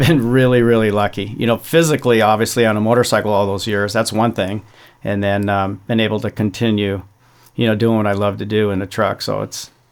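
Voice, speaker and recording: In an ordinary speaking voice, a man talks at a fairly low pitch and a fairly quick pace with fairly even intonation. The recording is very clean, with a silent background. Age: 60s. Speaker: off-road racing champion. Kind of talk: casual chat.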